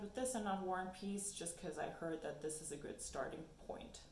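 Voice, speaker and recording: Speaking at a fairly quick pace with a German accent, a woman of medium pitch uses lively intonation amid audible room echo. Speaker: book YouTuber. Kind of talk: casual vlog talk.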